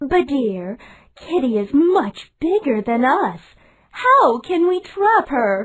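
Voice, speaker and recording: Someone speaks very slowly in a put-on character voice, the pitch swinging very widely. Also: female-sounding voice, high pitch for a woman. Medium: read story.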